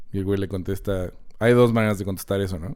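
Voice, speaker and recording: On a very clean recording with a silent background, a man with a Mexican accent speaks in a fairly low, dark, mellow voice with ordinary pitch variation. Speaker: film podcast host. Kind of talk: casual chat.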